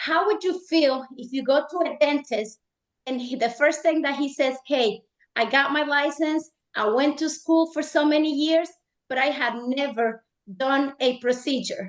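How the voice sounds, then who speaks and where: This is a woman with a high-pitched voice. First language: not English. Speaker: real estate agent. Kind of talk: panel discussion. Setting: live stream panel.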